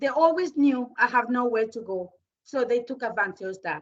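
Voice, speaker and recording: A woman talks at a moderate pace with a Spanish accent. Her pitch is high. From Venezuela. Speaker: domestic abuse survivor. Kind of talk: testimony.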